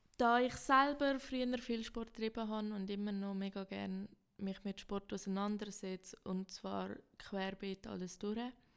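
A woman's medium-pitched voice, fairly slow and fairly even in intonation. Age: 20s. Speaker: student podcast host. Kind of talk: podcast trailer introduction. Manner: casual, slightly halting.

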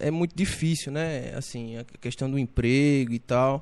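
A plain, everyday voice with ordinary pitch variation is heard against a quiet background. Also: man. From Brazilian Northeast, Paraíba interior. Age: 20s. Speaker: barber and entrepreneur. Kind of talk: casual interview chat.

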